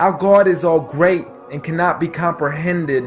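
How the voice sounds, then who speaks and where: Over music in the background, a man with a fairly high voice talks at a fairly slow pace. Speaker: spoken word poet. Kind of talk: spoken word poetry performance.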